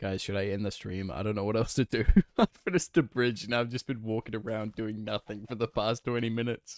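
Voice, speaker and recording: A man with a New Zealand accent at a very fast pace, medium pitch, fairly even intonation, dry and close with no echo, on a very clean recording with a silent background. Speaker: gaming streamer. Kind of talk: casual live-stream chat.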